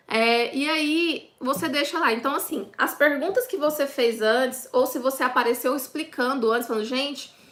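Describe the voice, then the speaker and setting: Her high-pitched voice moves with ordinary pitch variation, and the woman barely pauses. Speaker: online business course instructor. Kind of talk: live online class. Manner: fast.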